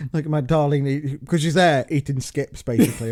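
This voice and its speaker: At a fairly quick pace, a man talks with a Staffordshire accent at a fairly high pitch. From England, Staffordshire. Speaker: podcast co-host, father. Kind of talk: casual chat. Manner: halting, many false starts.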